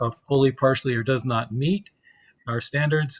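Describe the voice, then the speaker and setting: A man speaks at a moderate pace with medium pitch and fairly even intonation, his voice somewhat breathy. The sound is dry and close with no echo, over a quiet background. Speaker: state environmental program official. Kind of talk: committee testimony presentation.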